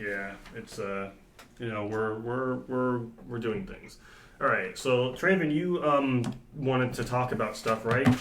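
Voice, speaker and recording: A man speaks fairly slowly at medium pitch with ordinary pitch variation and big swings in loudness. The room echo is audible, and background noise is noticeable. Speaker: student club president and podcast host. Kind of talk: casual chat. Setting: small storage closet. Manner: halting, many fillers and restarts. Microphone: echoey room sound.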